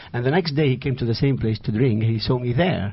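Somewhat breathy, a man with an Iraqi accent talks at a fairly quick pace in a medium pitch with ordinary pitch variation. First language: Arabic. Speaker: author. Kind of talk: interview. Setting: studio. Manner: halting, searching for words.

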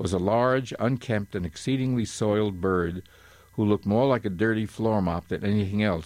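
With ordinary pitch variation, the voice reads aloud in an unforced way.

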